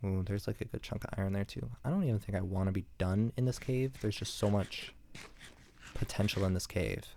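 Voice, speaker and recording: A quiet man's voice, very deep and low, with fairly even intonation, on a very clean recording with a silent background. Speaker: gaming commentator. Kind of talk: casual gameplay commentary. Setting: at home, apartment. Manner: quiet, holding back volume; hesitant, filler-heavy.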